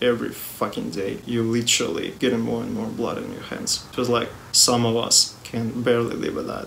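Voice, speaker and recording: Against noticeable background noise and audible room echo, a man speaks with a non-native accent. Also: moderate pace, hardly any pauses. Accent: non-native English pronunciation. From Russia. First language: Russian. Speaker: music youtuber. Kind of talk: personal video statement.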